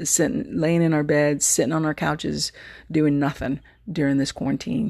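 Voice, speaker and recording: A woman speaks in an American accent at a moderate pace against a quiet background. Her tone is dark and mellow, with ordinary pitch variation. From Texas. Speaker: podcast host. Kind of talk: casual solo monologue. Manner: animated.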